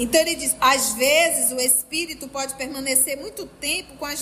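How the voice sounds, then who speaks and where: In a room with audible echo and noticeable background noise, a woman speaks at a high pitch with lively intonation. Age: 50s. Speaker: spiritist study group leader. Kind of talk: religious study lecture. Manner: animated.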